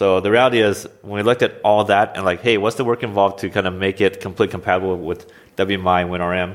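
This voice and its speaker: A man with an American accent and a plain, everyday voice, pitched fairly low, talking at a fairly quick pace with fairly even intonation. The recording is very clean, with a silent background. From US Pacific Northwest (Oregon). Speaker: software engineering manager. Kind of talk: interview.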